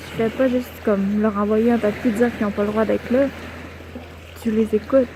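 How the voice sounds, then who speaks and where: A fairly high-pitched woman's voice in a monotone, flat delivery, with noticeable background noise. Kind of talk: soft-spoken spiritual reflection to camera. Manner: soft-spoken, calm, whispery.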